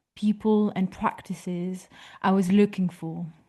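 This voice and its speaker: Against a quiet background, a woman with a strong French accent speaks in a dark, mellow, somewhat breathy tone with fairly even intonation. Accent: thick French. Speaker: photography historian speaker. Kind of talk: lecture read from a prepared text.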